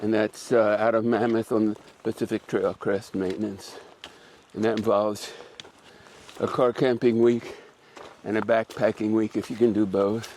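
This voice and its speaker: Intonation is monotone and flat at a moderate pace, with long, frequent pauses. Background noise is noticeable. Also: man, medium pitch for a man. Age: 80s+. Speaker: backpacker. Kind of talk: interview.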